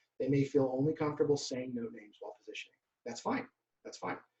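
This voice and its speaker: Somewhat breathy and fairly high in pitch, a man speaks with a dark, mellow tone and fairly even intonation. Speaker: band director. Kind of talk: conference presentation. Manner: fast.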